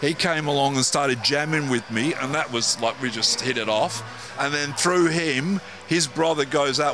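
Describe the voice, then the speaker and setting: A man talks with fairly even intonation at a moderate pace, with noticeable background noise behind him. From Manchester, England; moved to Perth at 13. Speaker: musician. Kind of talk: casual interview. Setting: music venue.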